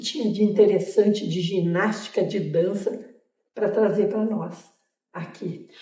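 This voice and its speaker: A woman talks at a fairly slow pace. Her pitch is fairly high, and room echo can be heard. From southern Brazil, Porto Alegre. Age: 80s+. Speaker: dance teacher and former gymnast. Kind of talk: interview.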